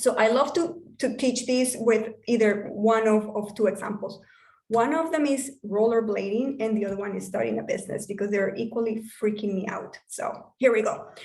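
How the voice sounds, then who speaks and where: In a room with audible echo, a woman speaks at a moderate pace in a fairly high, somewhat breathy voice with ordinary pitch variation. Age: 40s. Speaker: business coach. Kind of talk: online workshop talk. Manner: animated.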